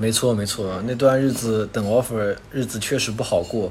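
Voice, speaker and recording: A man with an unremarkable speaking voice, medium in pitch, moderate in pace, with fairly even intonation. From China, Wuxi (Jiangsu). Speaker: overseas student. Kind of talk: casual chat.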